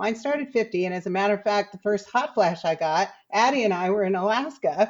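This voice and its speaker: This woman has an unremarkable speaking voice at a medium pitch. She talks fairly quickly with ordinary pitch variation. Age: 60s. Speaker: podcast guest. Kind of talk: casual chat.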